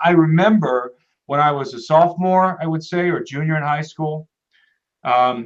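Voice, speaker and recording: A man talks at a fairly high pitch. His pitch variation is ordinary. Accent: American. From US Midwest, Ohio. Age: 30s. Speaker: documentary filmmaker and researcher, interview guest. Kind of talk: interview. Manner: halting, many repetitions and fillers.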